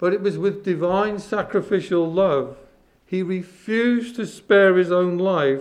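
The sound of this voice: Fairly even intonation accompanies an unforced reading voice.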